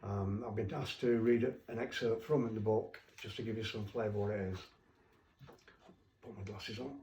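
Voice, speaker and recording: The loudness rises and falls sharply in a dark, mellow, somewhat breathy tone. The pace is moderate and the intonation stays fairly even. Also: man, medium pitch for a man. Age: 70s. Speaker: children's author. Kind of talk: casual interview talk. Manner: halting.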